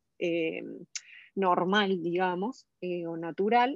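A woman's unremarkable speaking voice, medium in pitch, with ordinary pitch variation. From Argentina. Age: 40s. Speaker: cancer survivor. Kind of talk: interview testimony.

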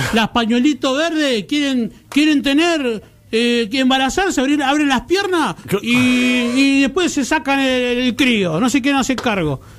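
Speaking at an extremely high pitch for a man, he talks fairly slowly with very even loudness over noticeable background noise. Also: ordinary pitch variation. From Argentina. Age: 30s. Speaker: radio co-host. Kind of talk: casual chat.

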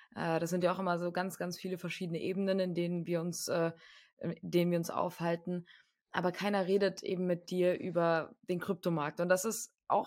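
In a very clean recording with a silent background, a woman speaks at a fairly quick pace with monotone, flat intonation. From Germany, Frankfurt. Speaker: podcast co-host. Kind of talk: casual chat.

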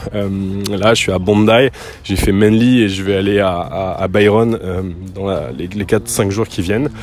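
A man with fairly low pitch and ordinary pitch variation, over noticeable background noise. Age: 30s. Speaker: podcaster. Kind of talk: casual solo monologue. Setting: outdoors. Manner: halting, many fillers.

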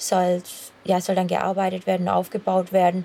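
A woman speaks with a Swabian accent in a dark, mellow tone. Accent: Swabian dialect, noticeable. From Swabia, Swabian Jura. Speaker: long-distance runner. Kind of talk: casual chat. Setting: outdoors, on a run.

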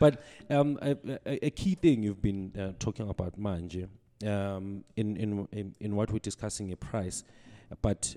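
In a very clean recording with a silent background and a dry, close sound with no echo, a man speaks fairly slowly at a fairly low pitch in a dark, mellow tone. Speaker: podcast host and author. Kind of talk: casual interview. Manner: hesitant, many fillers.

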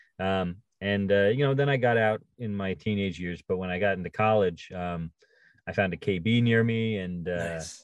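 With an ordinary speaking voice, a man talks at a moderate pace in a fairly low pitch with ordinary pitch variation. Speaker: toy company representative and collector. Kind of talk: casual interview chat.

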